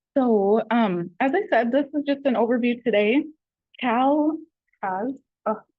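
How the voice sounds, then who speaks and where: Her voice high-pitched and her intonation lively, a woman talks with long, frequent pauses. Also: fairly slow pace. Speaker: adult education trainer. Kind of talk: training presentation.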